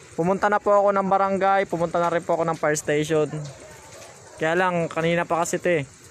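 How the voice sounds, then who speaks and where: Over light background noise, a high-pitched man talks at a very fast pace in a monotone, flat intonation with very even loudness and a dry sound with no echo. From Philippines. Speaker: motorcycle ride-hail rider and livestreamer; livestreamer. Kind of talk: live on-the-scene commentary. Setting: outdoors at a house fire. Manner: urgent, repetitive. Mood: worried, urgent. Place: street. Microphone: phone near.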